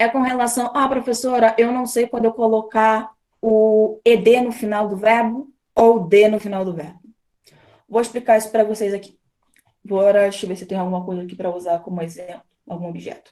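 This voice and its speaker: Her voice is fairly high with a dark, mellow tone, and this woman's loudness swings widely. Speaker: English teacher. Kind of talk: online class lecture. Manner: fast; animated.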